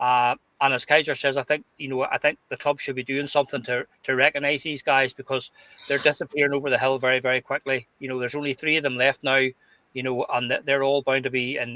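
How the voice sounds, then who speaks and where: Speaking very fast in a Glasgow accent, a man holds a medium pitch and a monotone, flat intonation, the sound dry and close with no echo. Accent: Scottish (Glasgow). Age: 60s. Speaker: podcast host. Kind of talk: casual chat.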